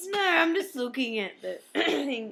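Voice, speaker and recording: Over a very clean recording with a silent background, a woman with a strong Australian accent talks at a fairly slow pace in a bright, sharp tone. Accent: broad Australian. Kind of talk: casual, broad regional.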